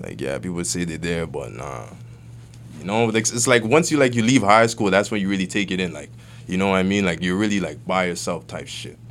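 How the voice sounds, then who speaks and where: At a fairly quick pace, a man with a very deep, low voice and vocal fry makes very wide pitch swings and big swings in loudness. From Toronto, Canada (Weston Road), Nigerian family. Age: 20s. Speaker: rapper. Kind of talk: interview.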